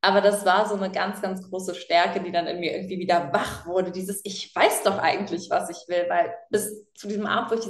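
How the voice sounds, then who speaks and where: A woman talks fairly quickly in an ordinary speaking voice with fairly even intonation. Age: 20s. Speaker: animal welfare activist and author. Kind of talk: casual interview.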